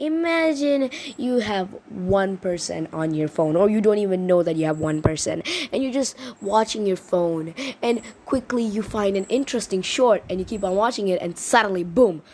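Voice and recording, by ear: The speech has lively intonation and few pauses. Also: woman, slightly mellow tone.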